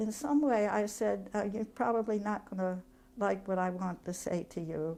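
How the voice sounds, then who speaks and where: At a fairly slow pace, a woman speaks with a dark, mellow tone at a medium pitch and ordinary pitch variation. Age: 90s. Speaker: retired activist and prisoner advocate. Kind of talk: oral history interview.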